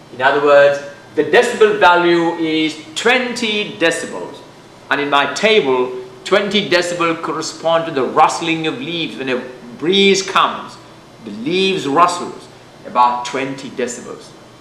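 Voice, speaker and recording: Music plays behind a man with audible room echo. His pitch is fairly high and his intonation lively. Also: moderate pace. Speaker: physics teacher. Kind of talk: lecture. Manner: loud.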